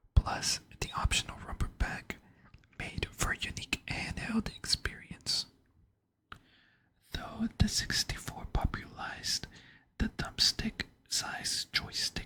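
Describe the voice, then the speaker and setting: The speaker whispers very slowly, with long pauses that come often. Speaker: ASMR content creator. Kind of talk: ASMR whisper narration for sleep, controller history. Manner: whispered, soft.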